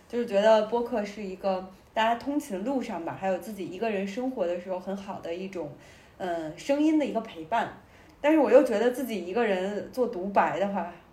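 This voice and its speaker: A woman talks at a fairly quick pace with lively intonation and big swings in loudness, and the room echo is audible. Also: medium pitch for a woman. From Beijing. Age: 20s. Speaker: podcast co-host. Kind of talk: casual chat.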